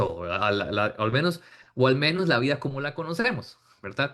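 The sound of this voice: With a fairly bright tone and fairly high pitch, a man speaks at a moderate pace. His pitch swings widely.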